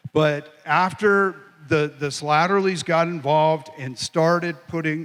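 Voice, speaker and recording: At a fairly slow pace, a man talks in an ordinary speaking voice with a fairly high pitch and ordinary pitch variation. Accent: American. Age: 60s. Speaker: lawyer and aircraft wreck recoverer. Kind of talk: panel Q&A.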